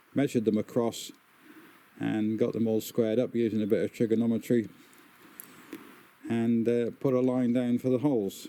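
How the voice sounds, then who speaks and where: Monotone, flat intonation marks this man's speech. He sits at a medium pitch and keeps a fairly quick pace. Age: 70s. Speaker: smallholder. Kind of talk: tutorial. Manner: halting.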